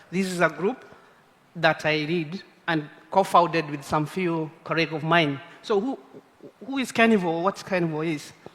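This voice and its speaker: A man's high-pitched voice at a moderate pace, with ordinary pitch variation, long, frequent pauses and noticeable background noise. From Kenya. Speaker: community conservation group leader. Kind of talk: conference talk.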